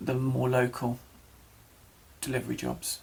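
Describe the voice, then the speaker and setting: A moderate pace with an English accent. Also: man. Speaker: vlogger. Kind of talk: personal vlog. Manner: halting.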